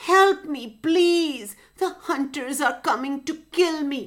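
A woman puts on a character voice, high in pitch and very slow in pace. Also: ordinary pitch variation. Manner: frightened.

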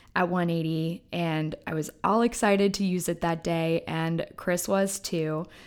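Speaking at a fairly slow pace, a woman has an unremarkable speaking voice, a fairly low pitch and ordinary pitch variation. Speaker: podcast host. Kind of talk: scripted podcast intro.

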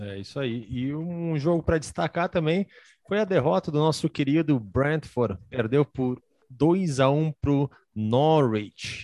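A man with a Brazilian accent at a fairly high pitch and moderate pace, lively intonation, dry, close sound with no echo, quiet background. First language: Portuguese. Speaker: podcast host. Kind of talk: casual chat.

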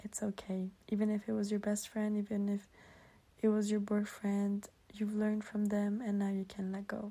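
A woman's medium-pitched, somewhat breathy voice with a dark, mellow tone, flat monotone intonation and a moderate pace. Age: 20s. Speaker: podcast host. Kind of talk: solo podcast monologue.

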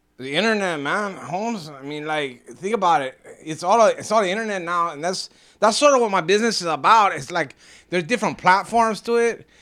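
Against a silent background on a very clean recording, a man speaks at a fairly quick pace in a high voice, his tone bright and sharp, with lively intonation and big swings in loudness. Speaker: business owner. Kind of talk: casual interview. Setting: at his business. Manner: halting, repetitive.

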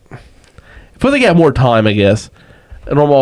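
A plain, everyday voice from a man, fairly high in pitch, with lively intonation. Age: 30s. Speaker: podcast co-host. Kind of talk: casual chat. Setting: studio.

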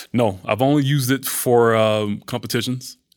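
A man talks with an American accent. He has a normal speaking voice. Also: very clean recording, silent background. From US South, Atlanta, Georgia. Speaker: bodybuilder and fitness model. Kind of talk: casual chat.

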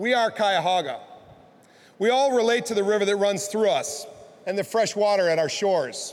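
A man with an American accent, lively intonation and a moderate pace. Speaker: county executive. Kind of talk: speech. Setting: stage with audience.

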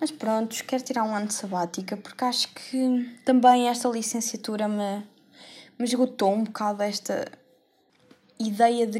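A woman with a European Portuguese accent speaks at a moderate pace, her fairly high voice held in fairly even intonation. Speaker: podcaster, university student. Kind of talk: casual monologue. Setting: bedroom.

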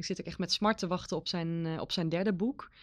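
A woman with an unremarkable speaking voice talks at a moderate pace with ordinary pitch variation against a quiet background. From Netherlands, Veluwe village. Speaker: librarian. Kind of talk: casual chat.

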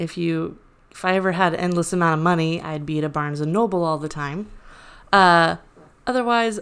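A woman's ordinary speaking voice, fairly low in pitch, with ordinary pitch variation at a moderate pace, in a very clean recording with a silent background. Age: 30s. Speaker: podcast co-host. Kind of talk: casual chat.

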